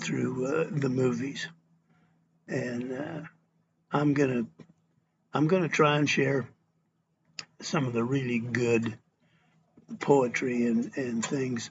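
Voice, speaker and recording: At a very slow pace full of long, frequent pauses, a man with an American accent speaks in a somewhat breathy voice of medium pitch and ordinary pitch variation. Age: 70s. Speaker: cowboy poet. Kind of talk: casual talk to camera. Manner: halting, many fillers.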